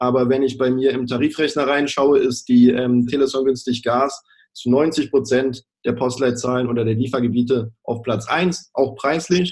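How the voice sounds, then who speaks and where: An ordinary speaking voice from a man, moderately paced and medium in pitch. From Baden-Württemberg, Germany (village). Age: 20s. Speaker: sales manager at an energy supplier. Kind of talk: interview, promotional. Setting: video call.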